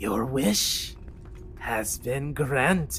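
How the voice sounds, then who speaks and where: A man at medium pitch performs a put-on character voice against clear background noise. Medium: actual play. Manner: smooth, insinuating.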